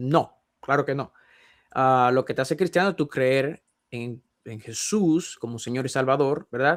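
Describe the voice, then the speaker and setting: A man talks at a medium pitch with ordinary pitch variation on a very clean recording with a silent background. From Dominican Republic. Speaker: Bible teacher. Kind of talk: panel discussion. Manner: fast; halting.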